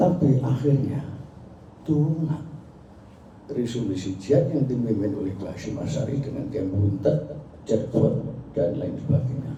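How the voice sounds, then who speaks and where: Long, frequent pauses break up a man's fairly slow speech, medium in pitch with ordinary pitch variation, amid noticeable background noise and audible room echo. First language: Javanese (speaking Indonesian). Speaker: Islamic cleric, founder of a dhikr group. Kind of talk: speech to a gathering.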